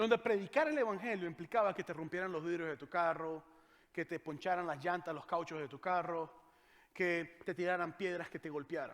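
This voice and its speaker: A man's high-pitched voice with a Venezuelan accent, ordinary pitch variation and a moderate pace. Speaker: pastor. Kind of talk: sermon.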